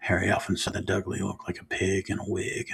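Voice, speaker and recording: A man's soft-spoken whispering at a moderate pace, with noticeable background noise. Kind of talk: ASMR soft-spoken book reading. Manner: soft-spoken, whispery.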